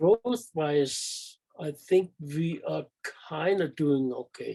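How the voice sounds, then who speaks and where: Over a quiet background, a man talks with a fairly high pitch and a dark, mellow tone. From Denmark. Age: 70s. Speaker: retired handball referee. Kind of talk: interview.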